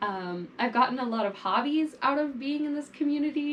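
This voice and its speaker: There is noticeable background noise behind this woman. Her intonation is lively. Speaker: fashion vlogger. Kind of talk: casual monologue to camera. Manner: animated.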